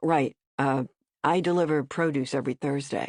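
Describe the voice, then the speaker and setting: A put-on character voice, gruff and raspy, at a low-to-middle pitch and moderate pace, over a quiet background. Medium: read story. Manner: gruff, terse.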